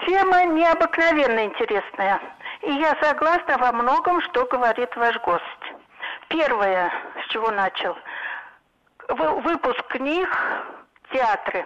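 A woman's high-pitched voice, very slow, with very wide pitch swings and long, frequent pauses. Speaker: caller. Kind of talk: phone-in comment. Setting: phone call.

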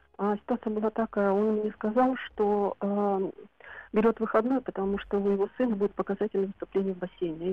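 A very fast, flat, monotone delivery. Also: woman. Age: 50s. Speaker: radio caller. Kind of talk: personal account on a call-in show. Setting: phone call.

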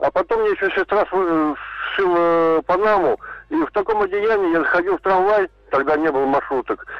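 A high-pitched man at a fairly quick pace, ordinary pitch variation and noticeable background noise. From Ulyanovsk, Russia. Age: 50s. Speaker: radio caller. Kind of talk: phone-in storytelling.

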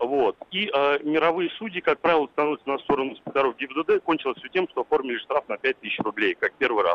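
This is an ordinary speaking voice with ordinary pitch variation. It moves at a fairly quick pace with hardly any pauses. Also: man, fairly high pitch for a man. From Mytishchi, Moscow region. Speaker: motorcyclist and driving-rules teacher. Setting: phone call.

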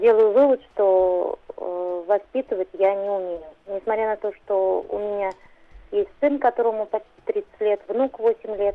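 A woman at medium pitch, fairly slow, with ordinary pitch variation. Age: 50s. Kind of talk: phone-in question. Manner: halting.

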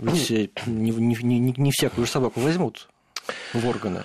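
An ordinary speaking voice from a man at medium pitch and moderate pace. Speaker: radio host. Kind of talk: radio interview. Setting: radio studio.

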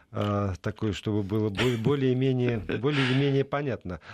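Against a quiet background, a man of medium pitch talks at a very slow pace with lively intonation, the sound dry and close with no echo. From Middle Urals, Russia. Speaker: radio host. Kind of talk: radio talk show. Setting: radio studio.

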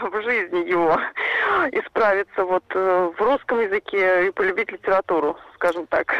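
Here is a woman with an ordinary speaking voice. Her pitch sits in the medium range and her pace is fairly slow. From Saransk, Russia. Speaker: caller, mother. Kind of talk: call-in question. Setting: phone call.

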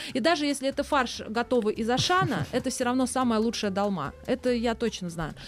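At a fairly quick pace and a high pitch, a woman talks with hardly any pauses over noticeable background noise. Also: lively intonation. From Moscow. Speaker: chef and cafe owner. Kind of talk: casual chat.

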